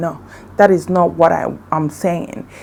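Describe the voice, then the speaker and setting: A woman's fairly low, fairly slow voice in a Nigerian accent. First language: Igbo. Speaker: beauty vlogger. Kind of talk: casual vlog talk. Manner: halting.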